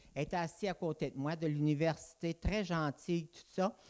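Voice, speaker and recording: A high-pitched man at a fairly slow pace, in a dry, close sound with no echo. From Abitibi, Quebec, raised in southwestern Ontario from age ten. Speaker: preacher. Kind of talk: sermon. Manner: halting.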